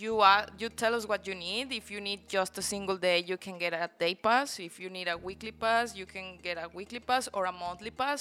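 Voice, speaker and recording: A woman speaks at a moderate pace with a Spanish accent and a medium pitch. Her intonation stays fairly even, and music plays in the background. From Mexico, Guanajuato. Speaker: coworking space owner. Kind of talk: podcast interview.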